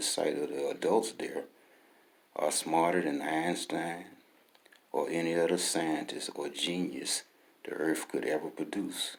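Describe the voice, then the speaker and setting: A man speaks with an Alabama accent. He keeps a fairly slow pace. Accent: Southern US (Alabama). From US South, Birmingham, Alabama. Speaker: author. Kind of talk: reading aloud.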